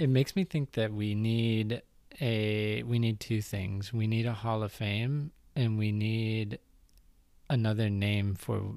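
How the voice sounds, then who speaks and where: A man with a normal speaking voice talks fairly slowly at a fairly low pitch with ordinary pitch variation, in a very clean recording with a silent background. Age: 30s. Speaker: podcast host, former teacher. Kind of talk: casual chat. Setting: recording on a couch at home.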